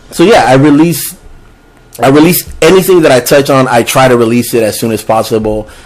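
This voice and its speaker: Against noticeable background noise, a man at a medium pitch speaks at a fairly quick pace with ordinary pitch variation. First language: Spanish. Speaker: music producer and rapper. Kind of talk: casual interview chat. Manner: casual, profanity-laden.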